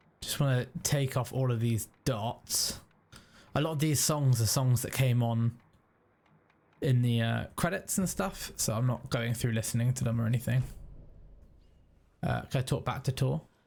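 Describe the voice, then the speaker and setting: A somewhat breathy man with a British accent, moderate pace, ordinary pitch variation, long, frequent pauses. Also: medium pitch for a man. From UK. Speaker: gaming YouTuber. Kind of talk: let's play commentary. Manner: casual, conversational.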